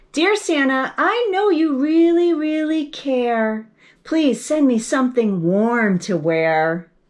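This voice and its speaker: A woman's high-pitched put-on character voice, fairly slow, with very wide pitch swings over a quiet background. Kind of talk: bedtime story. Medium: read story. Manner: sweet, earnest, cutesy.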